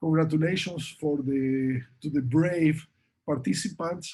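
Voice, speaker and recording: Fairly slow and somewhat breathy, a man speaks with a fairly high pitch, a dark, mellow tone and ordinary pitch variation. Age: 60s. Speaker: professor; presenter. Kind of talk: Q&A answers; lecture. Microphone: webcam.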